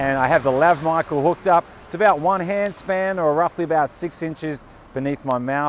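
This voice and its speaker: Over light background noise, a man talks at a fairly quick pace with ordinary pitch variation, the sound dry with no echo. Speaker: video creator testing gear. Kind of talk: tutorial. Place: street. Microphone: lapel.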